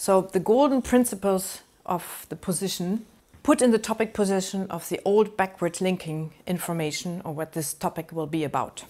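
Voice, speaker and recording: Over a very clean recording with a silent background, a dark, mellow voice with a German accent moves at a moderate pace with ordinary pitch variation. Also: woman. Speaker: university lecturer. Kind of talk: lecture. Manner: halting.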